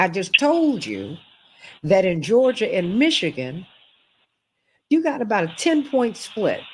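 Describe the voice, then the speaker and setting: A somewhat breathy woman with an American accent, moderate in pace, animated in tone and very wide in pitch swings, on a very clean recording with a silent background. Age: 60s. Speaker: talk show host. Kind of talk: political talk show commentary.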